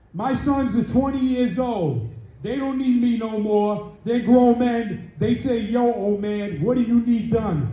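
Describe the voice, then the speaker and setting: A man with an American accent speaks at a fairly slow pace, in an extremely high pitch, with hardly any pauses. His pitch varies in an ordinary way, and room echo is audible. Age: 70s. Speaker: community member. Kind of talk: public comment at community meeting. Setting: community board meeting. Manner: animated.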